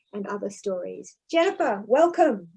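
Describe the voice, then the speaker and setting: A woman with an Australian accent speaks in a dark, mellow tone. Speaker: professor, event host. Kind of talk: conversational interview.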